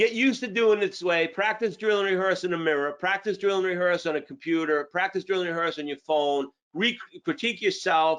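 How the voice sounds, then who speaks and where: With a Boston accent, a man with a high pitch and an animated tone talks at a fairly quick pace with ordinary pitch variation. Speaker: sales trainer. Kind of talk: training webinar.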